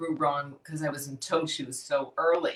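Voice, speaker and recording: Speaking at a moderate pace, a woman with a Chicago accent has a fairly low pitch and an animated tone. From Chicago, US Midwest. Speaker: fitness education company founder. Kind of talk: interview. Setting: live video stream.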